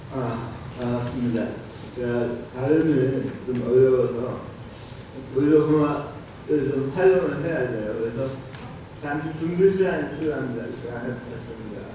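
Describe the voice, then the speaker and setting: A man at medium pitch and a fairly slow pace, with ordinary pitch variation, big swings in loudness and long, frequent pauses, amid noticeable background noise and audible room echo. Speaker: assistive technology workshop director, wheelchair user. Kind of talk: conference presentation remarks. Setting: auditorium policy forum. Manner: halting, short utterances.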